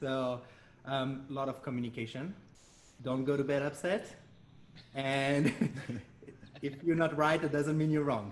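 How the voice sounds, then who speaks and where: This man has a French accent and a fairly high pitch, with fairly even intonation at a moderate pace. He takes long, frequent pauses over noticeable background noise. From France. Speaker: dance studio owner. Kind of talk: interview.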